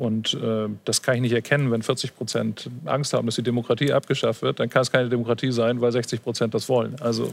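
Hardly pausing, a man talks at a very fast pace in a monotone, flat intonation. His pitch is medium. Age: 50s. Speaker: photographer and programmer analysing pandemic figures. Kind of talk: panel talk show discussion. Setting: studio in Hamburg.

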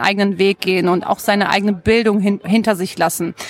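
A woman with an ordinary speaking voice, medium pitch and ordinary pitch variation. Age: 30s. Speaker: blogger and mother. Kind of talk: interview.

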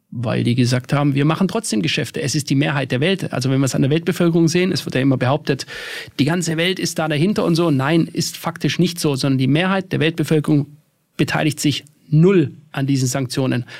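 The pitch varies in an ordinary way. The pace is very fast. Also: man, fairly high pitch for a man. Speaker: financial market analyst. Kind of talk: casual chat.

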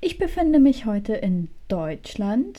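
A woman's voice at a very slow pace. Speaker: true crime podcast co-host. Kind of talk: casual chat with true crime storytelling. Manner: soft-spoken, quiet. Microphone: too quiet.

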